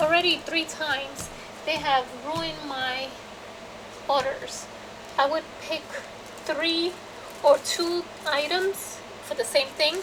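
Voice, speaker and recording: Against noticeable background noise, a woman with a high voice speaks very slowly with fairly even intonation and long, frequent pauses. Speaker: craft youtuber. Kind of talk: haul video.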